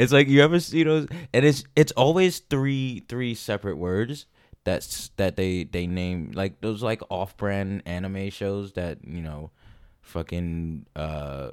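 Very slow and with an American accent, a man speaks in a very deep, low pitch, his pitch swinging very widely and his loudness changing a lot, in a very clean recording with a silent background. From New York. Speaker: podcast co-host, restaurant worker. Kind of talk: casual chat.

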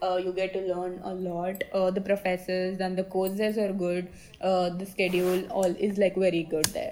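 A woman with an Indian accent speaks at a medium pitch in a monotone, flat intonation. Noticeable background noise runs underneath. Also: moderate pace. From South India. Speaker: university student. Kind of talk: interview. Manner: positive, sociable.

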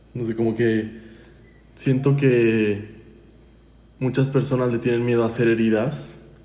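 At a very slow pace, a man speaks in a dark, mellow tone with medium pitch and fairly even intonation, with audible room echo around him. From Mexico, San Luis Potosí. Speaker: podcast guest. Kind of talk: testimony.

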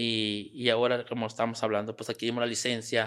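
A man speaks with a Mexican accent at a medium pitch. His delivery is a flat monotone, and the recording is very clean with a silent background. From Mexico, Sierra Gorda. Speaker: small business owner. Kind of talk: interview. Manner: halting.

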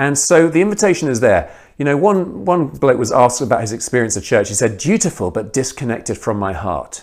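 A man with a British accent, fairly quick pace with hardly any pauses, and very wide pitch swings, on a very clean recording with a silent background. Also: medium pitch for a man. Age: 40s. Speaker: guest preacher, missionary. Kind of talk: sermon.

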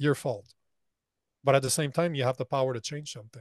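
The man talks at a fairly quick pace. His sound is dry and close with no echo, over a quiet background. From Canada. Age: 40s. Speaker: men's coach and entrepreneur. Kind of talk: casual interview.

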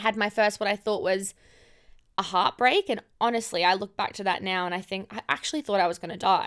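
Sound is dry and close with no echo, on a very clean recording with a silent background. A woman with an Australian accent talks in an animated tone at a fairly quick pace and medium pitch. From far north Queensland, Australia. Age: 20s. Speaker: podcast host, emergency nurse. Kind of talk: casual personal monologue.

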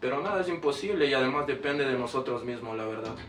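Noticeable noise fills the background. The room echo is audible. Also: man. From Ecuador, Quito. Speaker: rapper. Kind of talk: interview.

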